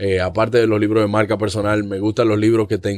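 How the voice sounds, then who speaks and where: In a very clean recording with a silent background, a man speaks at a fairly quick pace in a fairly low pitch. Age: 20s. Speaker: comedian and actor. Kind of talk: casual chat. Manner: halting.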